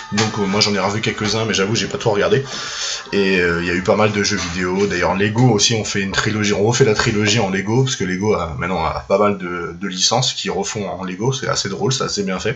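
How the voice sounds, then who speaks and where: A man speaks at a fairly quick pace with a fairly low pitch and fairly even intonation, amid noticeable background noise and audible room echo. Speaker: film YouTuber. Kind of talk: casual monologue. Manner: hesitant, many fillers.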